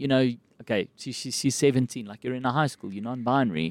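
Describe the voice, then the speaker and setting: In a South African accent, a man speaks at medium pitch, the sound dry and close with no echo. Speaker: comedian and actor. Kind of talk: casual chat. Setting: podcast recorded inside a cinema.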